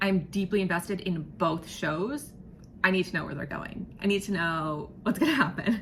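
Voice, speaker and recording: A woman speaks in an animated tone at a moderate pace and medium pitch, with ordinary pitch variation. Noticeable background noise is present. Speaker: vlogger. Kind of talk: casual vlog monologue. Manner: halting, repeats and trips over words.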